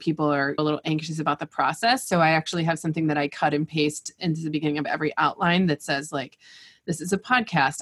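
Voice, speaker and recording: A woman talks at a very fast pace in a very deep, low pitch. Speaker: academic pathologist and podcast host. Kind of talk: casual panel chat.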